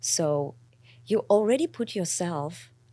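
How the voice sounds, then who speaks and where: Someone with a non-native accent talks at a very slow pace in a dark, mellow tone, on a very clean recording with a silent background. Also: woman. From immigrant to the US. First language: not English. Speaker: company co-founder. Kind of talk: interview conversation.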